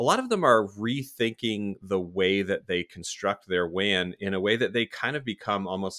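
A man with an American accent speaks at a moderate pace in a fairly low pitch. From South Florida and northern Virginia. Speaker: podcast host. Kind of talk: casual interview conversation.

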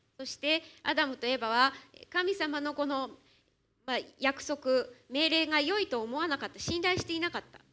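A woman with a high pitch uses a raised, projected voice with a bright, sharp tone and ordinary pitch variation. Her moderate pace has long, frequent pauses and big swings in loudness. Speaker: church interpreter. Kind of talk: sermon interpretation. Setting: church.

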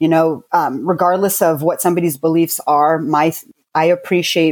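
A woman with a plain, everyday voice and fairly low pitch speaks at a moderate pace in a very clean recording with a silent background. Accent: American. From US, military family (Army brat). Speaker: beauty company founder. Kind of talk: casual interview.

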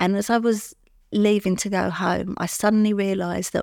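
On a very clean recording with a silent background and a dry, close sound with no echo, a woman in a London accent speaks at medium pitch and a moderate pace with fairly even intonation. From London, England. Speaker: recovering addict sharing her story. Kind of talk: interview testimony.

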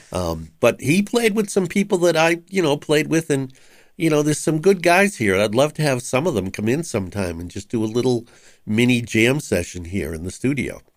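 On a very clean recording with a silent background, a man of medium pitch speaks at a fairly quick pace with very wide pitch swings. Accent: Boston. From Boston, Massachusetts (West Roxbury). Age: 70s. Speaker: retired musician and community radio host. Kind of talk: interview. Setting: studio.

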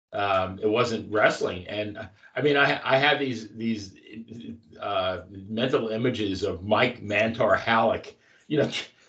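This man's voice sits at a medium pitch, with a bright, sharp tone. He speaks at a fairly slow pace, and room echo is audible. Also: ordinary pitch variation. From Long Island. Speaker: wrestling podcast co-host. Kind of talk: casual chat.

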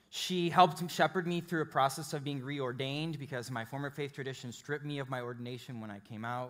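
Very fast American-accented speech from a man with a fairly high pitch, hardly any pauses, ordinary pitch variation and big swings in loudness, on a very clean recording with a silent background. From Chicago, US Midwest. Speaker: pastor. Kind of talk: sermon. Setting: church with live congregation.

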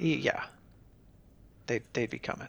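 The man speaks with vocal fry. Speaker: podcast host. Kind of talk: casual chat. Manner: joking, playful.

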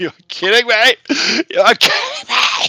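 Someone performs a put-on character voice at a fairly slow pace.

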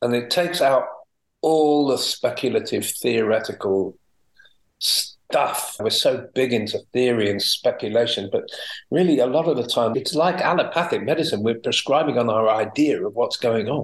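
A man talks at a moderate pace. He speaks with a Welsh accent. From Wales. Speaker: homeopath and teacher. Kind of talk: interview.

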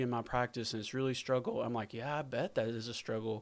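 A man's medium-pitched voice at a very fast pace, fairly even in intonation, on a very clean recording with a silent background. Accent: Southern US. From US South. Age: 40s. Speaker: veterinary practice owner, former teacher. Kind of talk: podcast interview.

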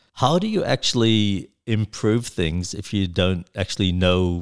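With an Australian accent, this man talks with ordinary pitch variation over a very clean recording and a silent background. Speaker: software engineer and record label founder. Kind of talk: interview. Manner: halting.

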